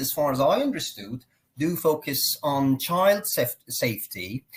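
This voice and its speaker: Speaking at a fairly slow pace, a high-pitched man talks with a Persian accent. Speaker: consultant and program host. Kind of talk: live online interview. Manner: formal.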